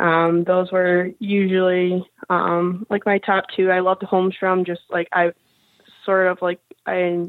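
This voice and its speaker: Monotone, flat intonation in an American accent. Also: woman. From US Midwest, Michigan. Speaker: hockey player. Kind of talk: interview.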